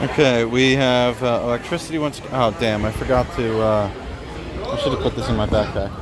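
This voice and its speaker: Against noticeable background noise, a man with an American accent speaks at medium pitch and a moderate pace, his intonation fairly even. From Central Pennsylvania. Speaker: traveling journalist. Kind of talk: casual on-the-street interview. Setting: outdoor farmers market, livestream. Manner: casual with many filler words.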